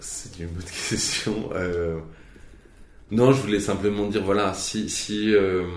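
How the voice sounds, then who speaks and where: A man's fairly low voice at a very slow pace, fairly even intonation, big swings in loudness and long, frequent pauses, with audible room echo and noticeable background noise. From Franche-Comté, eastern France. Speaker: novelist. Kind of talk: interview. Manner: halting.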